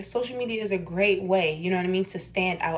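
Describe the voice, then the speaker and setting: A woman at a medium pitch with ordinary pitch variation and audible room echo. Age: 20s. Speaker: new real estate agent, vlogger. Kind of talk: casual vlog talk to camera. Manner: casual, filler-heavy, conversational.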